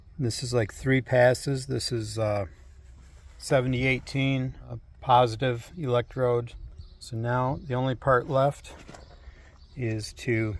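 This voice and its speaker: Using an American accent, a man speaks at medium pitch with ordinary pitch variation and a somewhat breathy voice. His pace is fairly slow, with long, frequent pauses. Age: 60s. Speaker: retired firefighter and farmer. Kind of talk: tutorial. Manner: casual, conversational.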